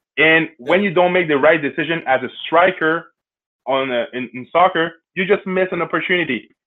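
With a Quebec accent, a man speaks in a high voice at a fairly quick pace, his pitch varying in an ordinary way. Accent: Québécois French accent in English. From Quebec City, Canada. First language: French. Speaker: sport founder, former pro basketball player. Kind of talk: interview.

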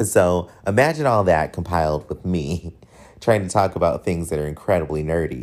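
The speaker has an American accent, an animated tone and ordinary pitch variation at a moderate pace. The recording is very clean, with a silent background. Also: man, very deep, low pitch for a man. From US military bases. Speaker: podcast host. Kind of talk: casual chat. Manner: animated, casual, profane.

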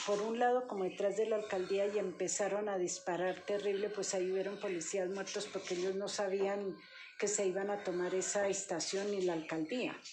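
At a moderate pace, a woman speaks at medium pitch in a monotone, flat intonation, with audible room echo and noticeable background noise. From Colombia, Boyacá, later Bogotá. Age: 70s. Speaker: retired police worker, grandmother. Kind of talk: life-story interview.

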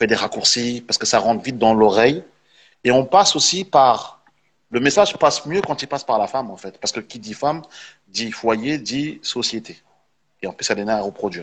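A man at medium pitch and moderate pace, with long, frequent pauses. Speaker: panel participant. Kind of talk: panel discussion. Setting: online live stream.

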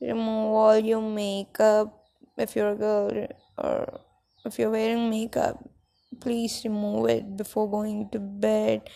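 Soft-spoken, a woman talks at a very slow pace. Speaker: podcaster. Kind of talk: casual monologue. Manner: halting.

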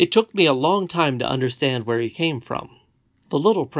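In a natural reading voice with lively intonation, the speaker reads against a quiet background.

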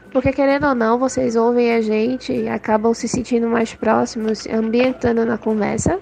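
A woman's fairly high voice is heard with noticeable background noise around it. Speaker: podcast team member, topic researcher. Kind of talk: recorded voice message.

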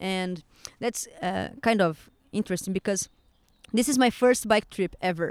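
In a Portuguese accent, a woman talks at a fairly slow pace with medium pitch and ordinary pitch variation, on a very clean recording with a silent background. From Brazil. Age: 20s. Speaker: tattoo artist. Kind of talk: casual interview. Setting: outdoors on a park bench. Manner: halting.

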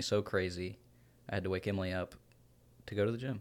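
In a very clean recording with a silent background, a man speaks with a very deep, low pitch. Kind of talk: casual chat. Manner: loud.

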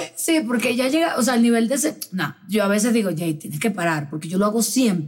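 A woman's fairly high voice at a fairly quick pace, with very wide pitch swings and hardly any pauses. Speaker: podcast host. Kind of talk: casual chat.

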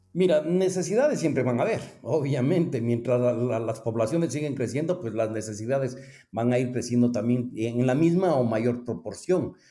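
Against audible room echo, a man talks in a dark, mellow tone at a medium pitch with ordinary pitch variation. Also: moderate pace. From Ecuador. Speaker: cooperative finance executive. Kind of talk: interview. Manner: halting.

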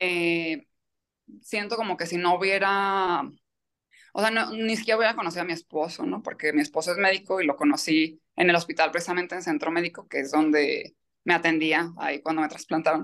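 A woman with an unremarkable speaking voice talks at a fairly quick pace against a quiet background. Her pitch is fairly low, with ordinary variation. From Mexico, Michoacán. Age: 30s. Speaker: kidney transplant patient. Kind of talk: interview testimony.

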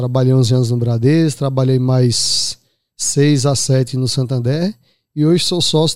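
A man talks at a moderate pace, his pitch varying in an ordinary way, on a very clean recording with a silent background. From Pernambuco backlands, Brazil. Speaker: investment advisor. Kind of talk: casual interview.

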